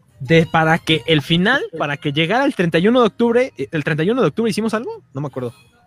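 Music plays in the background as a man with a high pitch talks fairly quickly with hardly any pauses and very wide pitch swings, the sound dry and close with no echo. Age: 40s. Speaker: podcast host. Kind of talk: casual chat. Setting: livestream.

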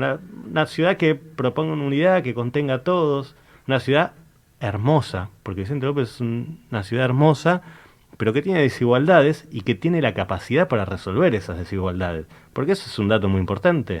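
Speaking at a medium pitch and a fairly quick pace, a man's voice moves through very wide pitch swings. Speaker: local political candidate. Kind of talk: political interview.

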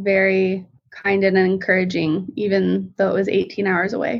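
A woman speaks in a normal speaking voice with an American accent. Her pitch is medium and her pace moderate. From Colorado. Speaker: visual artist and stay-at-home mom. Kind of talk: casual interview chat.

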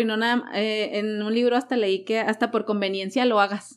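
A woman with a fairly high pitch talks at a fairly quick pace in a monotone, flat intonation. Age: 30s. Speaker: life coach. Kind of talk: casual interview.

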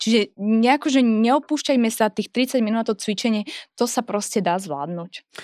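A woman's fairly high voice with lively intonation at a moderate pace, in a dry, close sound with no echo and a very clean recording with a silent background. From Moravia, Czech Republic. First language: Czech (speaking Slovak). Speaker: fitness trainer. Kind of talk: casual chat. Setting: studio.

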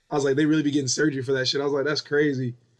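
A man with a fairly high pitch keeps his intonation fairly even. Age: 20s. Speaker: podcast co-host. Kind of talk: casual chat.

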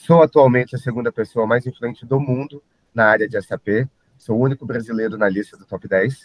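In an ordinary speaking voice, a man at medium pitch talks with fairly even intonation and big swings in loudness. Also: fairly quick pace. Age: 30s. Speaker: IT consultant and social media influencer. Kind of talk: podcast interview.

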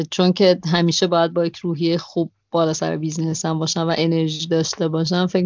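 Fairly low in pitch, a woman talks at a fairly quick pace with a monotone, flat intonation. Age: 30s. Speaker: travel podcaster and cafe-gallery owner. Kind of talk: interview conversation. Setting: Skype call.

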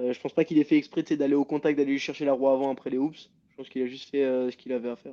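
The voice runs at a very fast pace with hardly any pauses. Its tone is dark and mellow, the intonation monotone and flat. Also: man, fairly high pitch for a man. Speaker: motocross rider. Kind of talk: interview.

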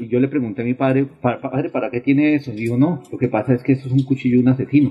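The man speaks at a very fast pace. His voice sits at a medium pitch with fairly even intonation. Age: 40s. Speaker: leather craftsman and shoe repairer. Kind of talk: interview testimony.

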